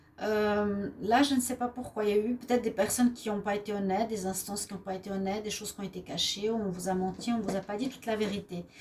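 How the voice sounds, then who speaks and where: Over noticeable background noise, a woman with a Swiss accent talks very fast at a medium pitch with fairly even intonation. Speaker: tarot card reader. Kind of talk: daily tarot reading. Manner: hesitant, with frequent fillers.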